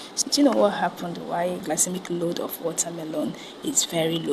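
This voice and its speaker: The woman's fairly low voice moves at a fairly quick pace as noticeable background noise carries on. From Nigeria. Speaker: dietitian nutritionist. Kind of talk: tutorial.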